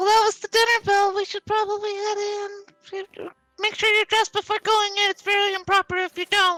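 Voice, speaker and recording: A squeaky, put-on character voice at an extremely high pitch, monotone and flat, at a moderate pace over faint music in the background. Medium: actual play.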